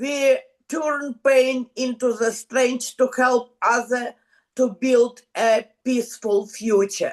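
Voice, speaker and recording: Very slow and fairly even in intonation, a woman speaks at a high pitch in a Ukrainian accent. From Ukraine. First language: Ukrainian or Russian. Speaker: women's club member from a war zone. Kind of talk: video call panel interview. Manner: halting.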